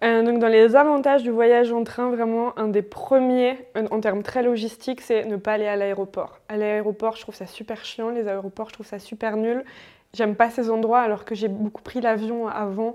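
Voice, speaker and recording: Speaking at a moderate pace with a fairly high pitch, a woman delivers her words in a dark, mellow tone and monotone, flat intonation, with big swings in loudness. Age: 20s. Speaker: anthropologist, traveller. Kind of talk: casual interview, travel testimony. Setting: home living room.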